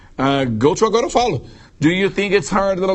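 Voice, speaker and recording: A man is speaking. He has a slight Brazilian accent. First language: Portuguese. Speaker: English teacher. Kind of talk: live Q&A stream. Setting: live stream.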